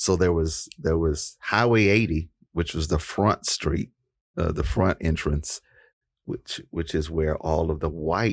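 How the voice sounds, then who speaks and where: Very deep, low male pitch at a fairly slow pace, on a very clean recording with a silent background. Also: ordinary pitch variation. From East Texas. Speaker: podcast host. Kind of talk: interview.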